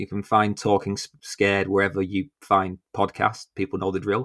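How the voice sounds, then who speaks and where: A man with a British accent and fairly low pitch speaks at a moderate pace in a dry, close sound with no echo, on a very clean recording with a silent background. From UK. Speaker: podcast host. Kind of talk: casual chat.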